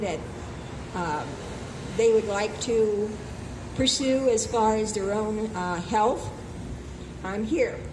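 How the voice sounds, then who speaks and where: A woman speaks at a fairly high pitch and a fairly slow pace with fairly even intonation. Noticeable background noise and audible room echo fill the recording. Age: 80s+. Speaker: health speaker. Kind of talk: open mic talk.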